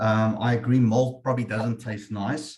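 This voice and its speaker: The voice is somewhat breathy and comes with an Afrikaans accent. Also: man. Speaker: webinar moderator, insurance manager. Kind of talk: webinar discussion. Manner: hesitant, repetitive fillers.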